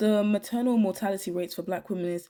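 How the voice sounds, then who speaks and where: With a British accent, a woman speaks at a moderate pace in a dark, mellow tone, medium pitch and fairly even intonation, recorded very cleanly against a silent background. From Britain. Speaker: YouTuber. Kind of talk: commentary video monologue.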